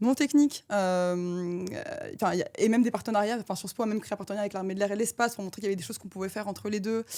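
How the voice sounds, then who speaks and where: A woman's dark, mellow voice at medium pitch, racing along at a very fast pace with hardly any pauses, ordinary pitch variation and big swings in loudness, on a very clean recording with a silent background. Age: 20s. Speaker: defense and space consultant. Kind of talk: mock job interview. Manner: animated.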